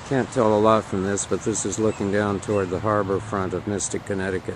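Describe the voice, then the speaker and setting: A man's very deep, low voice in monotone, flat intonation at a moderate pace, with a dry sound with no echo and noticeable background noise. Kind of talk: casual travel narration. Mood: relaxed, appreciative. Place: street. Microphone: phone near.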